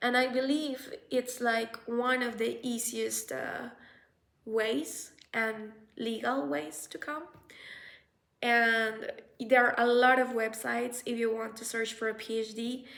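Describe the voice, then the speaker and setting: At a very slow pace, a woman with a Spanish accent speaks at a fairly high pitch. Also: ordinary pitch variation. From Colombia. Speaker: researcher and vlogger. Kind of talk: casual vlog advice. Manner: halting, with fillers.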